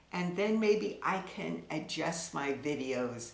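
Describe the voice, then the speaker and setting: Speaking at a very slow pace, a woman with a fairly low pitch and ordinary pitch variation is heard with audible room echo and noticeable background noise. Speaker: tarot reader. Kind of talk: casual monologue to camera. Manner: slow talker; pauses, zones out.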